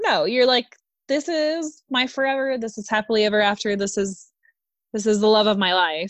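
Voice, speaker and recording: Against a quiet background, a woman with a medium pitch and lively intonation talks at a moderate pace in a plain, everyday voice. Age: 30s. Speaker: podcast co-host. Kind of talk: casual chat.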